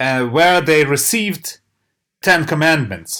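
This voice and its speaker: A man with a Ukrainian accent speaks at a fairly high pitch with very wide pitch swings. The recording is very clean, its background silent. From Ukraine. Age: 40s. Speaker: church historian. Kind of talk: interview. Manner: halting.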